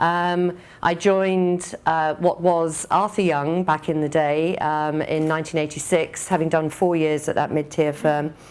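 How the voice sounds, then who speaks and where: With an English accent, a woman speaks in a very deep, low pitch and a monotone, flat intonation. Her pace is fairly slow, with hardly any pauses. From England. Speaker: business executive. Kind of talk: conference speech. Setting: speaking at an event in Dublin.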